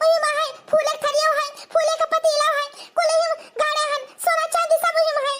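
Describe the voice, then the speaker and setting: A woman speaks in a cartoonish character voice. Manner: whiny, doting.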